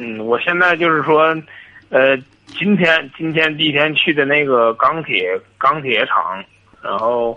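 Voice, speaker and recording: A man talks at a very slow pace. His fairly high voice has lively intonation. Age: 20s. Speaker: caller, former salesperson. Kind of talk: call-in advice conversation. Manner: halting, hesitant.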